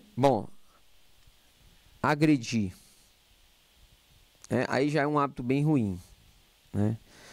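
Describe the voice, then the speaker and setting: A man speaks with ordinary pitch variation. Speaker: lecturer. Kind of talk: lecture. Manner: loud.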